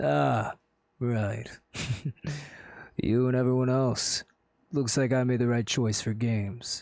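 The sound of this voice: Someone puts on a raspy character voice at a fairly slow pace. Long pauses come often. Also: man, medium pitch for a man.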